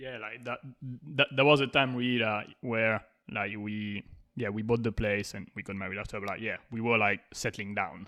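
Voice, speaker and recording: A man with a French accent speaks at a moderate pace in a fairly low voice, his intonation fairly even but his loudness swinging widely, with a bright, sharp tone on a very clean recording over a silent background. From France. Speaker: podcast host. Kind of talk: casual chat.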